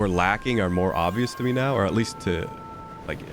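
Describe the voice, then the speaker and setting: A man's moderately paced speech shows ordinary pitch variation, with noticeable noise in the background. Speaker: gaming streamer. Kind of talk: live gameplay commentary. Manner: halting, stumbling over words; casual, filler-heavy.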